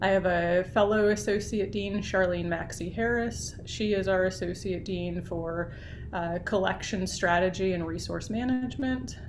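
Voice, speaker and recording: A woman speaks at a medium pitch with ordinary pitch variation and hardly any pauses. The room echo is audible, and there is noticeable background noise. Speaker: university library associate dean. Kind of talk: talk to student group on video call. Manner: fast.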